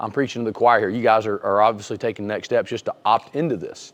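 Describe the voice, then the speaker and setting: A man with an American accent speaks at a very fast pace, with hardly any pauses. His pitch variation is ordinary. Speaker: wrestling coach. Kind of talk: webinar presentation. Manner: halting, many restarts.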